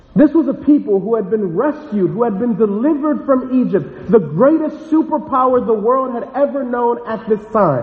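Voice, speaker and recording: A man's extremely high-pitched voice at a moderate pace, lively in intonation, with hardly any pauses, over noticeable background noise. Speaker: pastor. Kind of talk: sermon. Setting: church.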